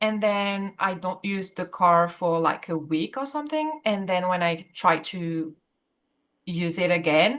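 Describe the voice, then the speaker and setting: Very slowly and with lively intonation, a woman with a fairly low voice speaks in a French accent. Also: quiet background. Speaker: support group participant. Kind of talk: casual talk about a personal problem. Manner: hesitant, many fillers.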